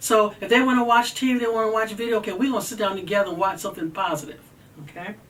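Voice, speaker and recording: An animated, very fast delivery over noticeable background noise. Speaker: mental health advocate. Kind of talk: talk on mental health.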